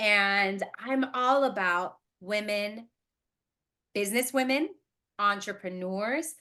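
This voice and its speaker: A woman with a Spanish accent speaks slowly-ish at medium pitch, animated and bright, sharp in tone, with lively intonation. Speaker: podcast host and running coach. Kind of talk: interview podcast.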